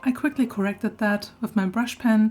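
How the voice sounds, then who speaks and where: This woman's voice is somewhat breathy and fairly high in pitch, at a moderate pace. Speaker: artist. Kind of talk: art process voiceover.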